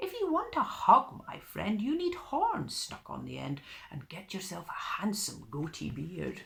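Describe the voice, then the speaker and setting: A man's put-on character voice at a moderate pace. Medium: read story.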